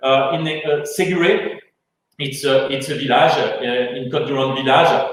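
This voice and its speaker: Audible room echo surrounds a man with a French accent, who speaks at a fairly slow pace with ordinary pitch variation. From France. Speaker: winemaker. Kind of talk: webinar interview. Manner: halting.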